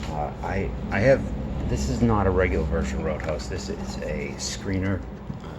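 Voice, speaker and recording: A man's very deep, low voice, with noticeable background noise and audible room echo. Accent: American. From Massachusetts, South Shore. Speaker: sports card collector YouTuber. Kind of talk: casual card-opening commentary. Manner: careful, sometimes halting over names.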